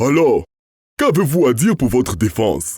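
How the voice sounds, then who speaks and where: In a put-on character voice, a man speaks at medium pitch and a moderate pace with very wide pitch swings. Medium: read story. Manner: brusque, pompous.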